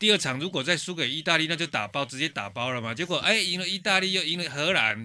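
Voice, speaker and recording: A man talks at a very fast pace with hardly any pauses, his fairly high voice bright and sharp, with vocal fry and lively intonation. It is a very clean recording with a silent background. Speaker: political podcast host. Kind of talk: casual chat.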